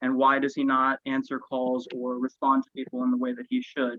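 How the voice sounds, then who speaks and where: A man talks at a moderate pace. His medium-pitched voice has monotone, flat intonation. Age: 20s. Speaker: political candidate. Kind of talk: candidate forum statement. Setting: video call.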